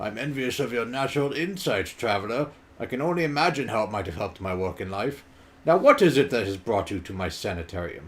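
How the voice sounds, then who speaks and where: A rumbling, put-on character voice at a very fast pace, with very wide pitch swings. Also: man, medium pitch for a man. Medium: game stream. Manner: formal, proud, measured.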